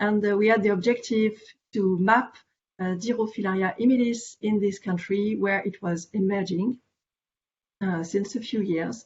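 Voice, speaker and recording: With music in the background, a woman with a French accent talks at a moderate pace with fairly even intonation. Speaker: veterinary parasitology specialist. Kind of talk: conference presentation. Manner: hesitant, many fillers.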